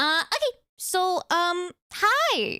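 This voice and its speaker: A woman's raised, projected voice with a bright, sharp tone. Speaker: vtuber streamer. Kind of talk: unscripted live stream talk. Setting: live stream. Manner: rambling, hesitant with fillers.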